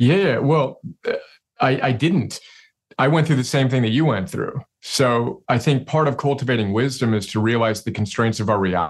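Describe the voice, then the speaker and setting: A man with a plain, everyday voice at a medium pitch, ordinary pitch variation, and a moderate pace, over a quiet background. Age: 40s. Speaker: CEO and self-help author. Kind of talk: interview conversation.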